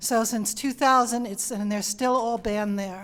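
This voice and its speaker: Speaking at a fairly quick pace, a woman with a New York accent uses a fairly high pitch and fairly even intonation. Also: very clean recording, silent background. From Long Island, New York. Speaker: panel speaker on pollinators. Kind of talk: panel answer to audience question.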